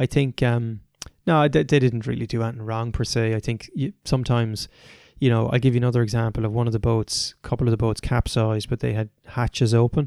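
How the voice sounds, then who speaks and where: Talking very fast with an Irish accent, a man uses a medium pitch, a dark, mellow tone and fairly even intonation, the sound dry and close with no echo. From Ireland. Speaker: adventurer and performance coach. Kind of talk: interview conversation.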